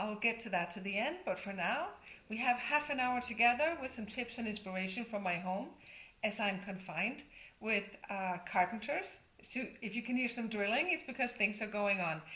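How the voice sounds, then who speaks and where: Lively intonation marks this woman's speech in a Danish accent. Her pitch sits fairly high. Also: moderate pace. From Denmark. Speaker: interior designer and coach. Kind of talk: tutorial. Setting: at home.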